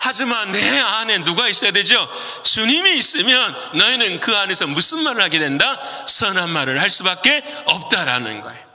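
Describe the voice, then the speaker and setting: At a moderate pace, the voice swings very widely in pitch, with audible room echo and noticeable background noise. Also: man, high pitch for a man. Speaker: pastor. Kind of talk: sermon. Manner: speeds up when animated.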